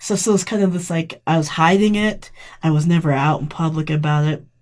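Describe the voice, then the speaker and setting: A woman's somewhat breathy, fairly low voice with an American accent and ordinary pitch variation. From Colorado Springs area, military family. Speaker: community member, activist and weightlifter. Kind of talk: podcast interview, personal story. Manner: casual, conversational.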